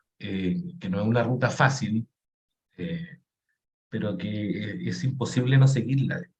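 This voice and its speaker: A man speaks in a somewhat breathy voice at a medium pitch. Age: 50s. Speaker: painter. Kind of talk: interview conversation. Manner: halting.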